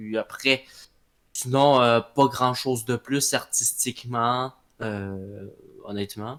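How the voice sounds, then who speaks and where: Very slowly and with long, frequent pauses, a man with a Quebec accent speaks at a medium pitch and fairly even intonation on a very clean recording with a silent background. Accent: Québécois. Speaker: audio drama creator. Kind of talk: interview. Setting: live voice chat. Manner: halting, many fillers.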